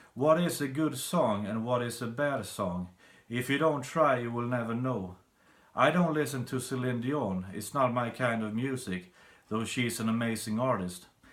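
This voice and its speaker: The speaker is a man with a Swedish accent. His pitch varies in an ordinary way. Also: medium pitch for a man, moderate pace. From Sweden. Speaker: songwriter. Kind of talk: tutorial.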